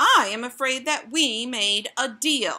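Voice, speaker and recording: A woman puts on a character voice, raised and projected, high-pitched, at a fairly slow pace. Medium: read story. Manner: formal, measured.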